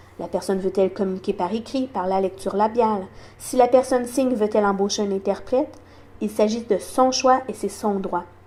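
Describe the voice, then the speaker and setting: Her tone dark and mellow, a woman with a fairly high pitch speaks at a moderate pace, with ordinary pitch variation and big swings in loudness. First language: sign language (speaking French). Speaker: deaf community advocate. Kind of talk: awareness talk.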